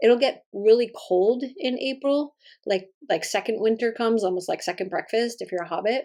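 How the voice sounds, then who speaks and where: An American accent marks this woman's fairly high-pitched voice, which shows ordinary pitch variation. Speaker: planner and sticker shop youtuber. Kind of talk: casual chat. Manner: fast.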